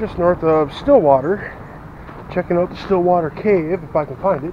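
A man's high-pitched voice with ordinary pitch variation, a dry sound with no echo, and noticeable background noise. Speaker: vlogger. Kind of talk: casual vlog chat. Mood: subdued, then curious. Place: forest. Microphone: phone near.

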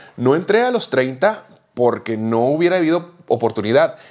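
Lively intonation runs through a man's voice. His pace stays moderate. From Mexico. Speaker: podcast co-host. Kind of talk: casual chat. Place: home room. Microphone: lapel.

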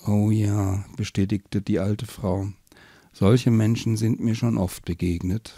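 In a natural voice, the text is read aloud with fairly even intonation.

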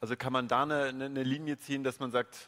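A man with a medium pitch speaks at a moderate pace. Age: 30s. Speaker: event moderator. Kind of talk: stage interview. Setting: stage with audience. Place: hall. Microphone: handheld.

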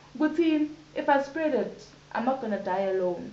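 A woman's voice at a moderate pace, with audible room echo. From South Africa, Johannesburg. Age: 20s. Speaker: HIV/AIDS activist. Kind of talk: interview testimony. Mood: candid, reflective storytelling. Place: home room. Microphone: camera far.

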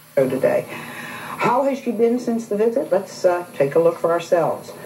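A woman talks at a moderate pace with light background noise behind her. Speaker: talk show host. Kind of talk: talk show host questioning guests. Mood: firm, confronting. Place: studio. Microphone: lapel.

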